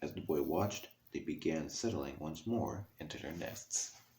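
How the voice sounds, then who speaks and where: Soft-spoken and somewhat breathy, a man talks with a very deep, low pitch and ordinary pitch variation. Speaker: ASMR reader. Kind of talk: ASMR book reading.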